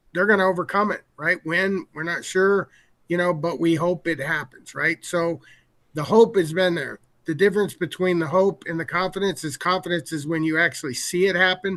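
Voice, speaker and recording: A high-pitched man at a moderate pace with fairly even intonation, over a quiet background. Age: 60s. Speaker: game company executive. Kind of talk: casual interview. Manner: halting.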